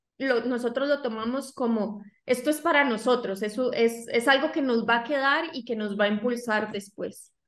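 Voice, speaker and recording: A high-pitched woman at a moderate pace, fairly even intonation, a quiet background and audible room echo. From Costa Rica. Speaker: digital marketing agency co-founder. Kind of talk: interview. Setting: video call. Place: home room. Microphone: video call.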